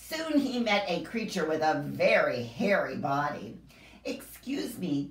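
Someone reads aloud plainly.

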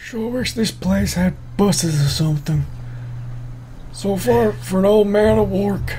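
A man does a put-on character voice at a moderate pace, with long, frequent pauses and clear background noise. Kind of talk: in-character roleplay dialogue. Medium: machinima. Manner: rambling, grumbling old-man talk. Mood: flustered, chasing bus.

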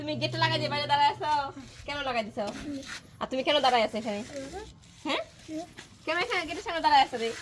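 Over noticeable background noise, a woman speaks at a high pitch with very wide pitch swings. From rural Bangladesh. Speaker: village vlogger. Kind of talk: casual vlog narration.

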